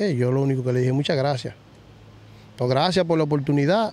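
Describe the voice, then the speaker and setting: A man speaks with ordinary pitch variation. The sound is dry with no echo. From Dominican Republic, Villa Vásquez (Cibao); Dominican Republic. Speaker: retired baseball player; guest. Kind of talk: interview. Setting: baseball stadium field. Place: stadium.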